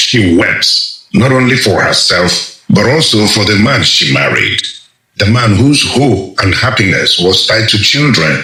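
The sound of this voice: In a room with strong echo, a man speaks at fairly low pitch and a fairly slow pace, his bright, sharp tone swinging widely in pitch.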